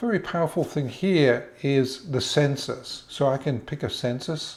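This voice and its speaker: The voice carries an English accent and keeps a fairly even intonation. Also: man. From England. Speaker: genealogy tutorial presenter. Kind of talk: tutorial. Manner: casual, slightly halting.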